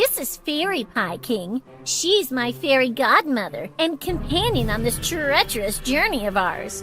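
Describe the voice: A cartoonish character voice, female-sounding and high in pitch, at a moderate pace over clear background music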